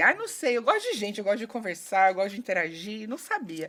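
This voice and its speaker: With a strong Goiás accent, a woman speaks in an animated tone at a medium pitch and a fairly quick pace. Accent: Goiás accent, kept strong. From Goiás, Brazil (Rio Verde). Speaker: HR specialist and conflict mediator. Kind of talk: podcast interview. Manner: chatty, animated.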